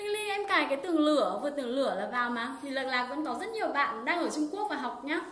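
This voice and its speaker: Talking at a very fast pace with hardly any pauses, a woman uses a high pitch and very wide pitch swings, with audible room echo and light background noise. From Vietnam. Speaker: Chinese language teacher. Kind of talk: live-streamed language lesson. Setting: livestream online. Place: home room.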